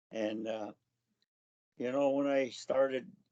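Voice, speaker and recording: Speaking with a Canadian accent, a man with a medium pitch talks at a fairly slow pace. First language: Cree. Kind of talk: personal storytelling. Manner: halting.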